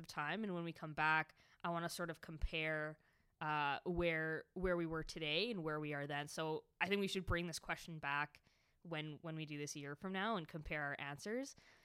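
A woman speaks at a moderate pace with a fairly low pitch and ordinary pitch variation, in an ordinary speaking voice. The recording is very clean, with a silent background. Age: young. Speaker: podcast co-host. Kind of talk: casual chat. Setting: public library room.

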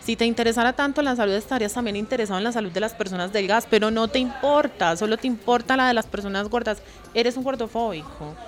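Music plays behind a woman with a fairly high pitch. She speaks at a very fast pace. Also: ordinary pitch variation. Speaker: activist. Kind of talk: casual chat. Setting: recorded at a clothing fair with crowd.

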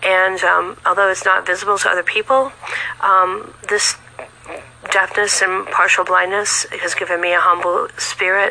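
A woman's medium-pitched, monotone, flat delivery at a moderate pace with noticeable background noise. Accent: American. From California. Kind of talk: testimony. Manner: halting, many fillers.

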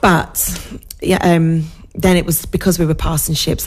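Over noticeable background noise, a woman talks in a very deep, low pitch. Her delivery is fairly quick, with monotone, flat intonation. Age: 40s. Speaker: social media manager and entrepreneur. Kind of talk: casual interview chat on local radio. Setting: radio studio.

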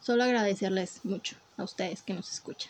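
A woman with a Mexican accent speaks in a somewhat breathy voice. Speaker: podcast co-host. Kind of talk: casual chat.

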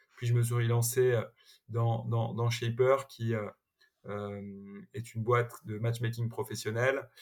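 A somewhat breathy, medium-pitched male voice in a monotone, flat intonation, on a very clean recording with a silent background. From Paris suburbs, France. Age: 30s. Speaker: tech entrepreneur. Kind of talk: interview. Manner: hesitant, frequent repetitions and fillers.

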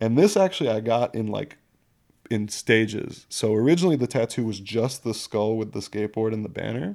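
Ordinary pitch variation marks this fairly quick speech. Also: man, medium pitch for a man. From New York City, partly Baltimore. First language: French. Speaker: skateboarder with many tattoos. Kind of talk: casual chat.

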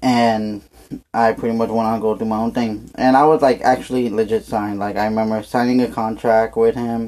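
A man speaks at a fairly quick pace, his fairly low pitch showing little movement. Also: slightly mellow tone.

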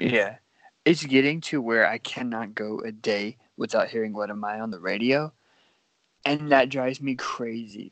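A man in a normal speaking voice talks at a medium pitch and a moderate pace, with ordinary pitch variation and big swings in loudness. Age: 20s. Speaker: podcast co-host and social media creator. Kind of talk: casual chat.

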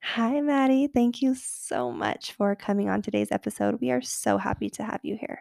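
This woman talks at a moderate pace in an animated tone, with hardly any pauses. The recording is very clean, with a silent background and a dry, close sound with no echo. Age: 20s. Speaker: podcast host and wellness coach. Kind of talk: scripted intro; casual chat.

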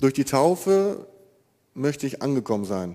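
Here a man speaks at a medium pitch with lively intonation. His tone is dark and mellow. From Germany, East Westphalia (Marienfeld). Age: 20s. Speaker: baker. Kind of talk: testimony. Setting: church.

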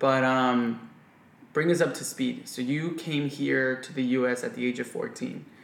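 A man with an American accent speaks at a medium pitch with fairly even intonation. His is an unremarkable speaking voice. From US. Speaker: podcast host. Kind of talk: casual interview. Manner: casual.

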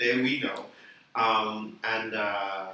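A man speaks at medium pitch in a monotone, with flat intonation. Noticeable background noise runs underneath. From Bahamas. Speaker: band musician. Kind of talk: casual chat.

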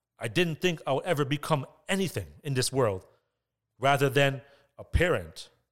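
A man with a Toronto accent speaks at a fairly high pitch. The recording is very clean, with a silent background. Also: long, frequent pauses. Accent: Toronto Canadian English. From Canada, Scarborough (Toronto). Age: 30s. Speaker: podcast host. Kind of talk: motivational monologue.

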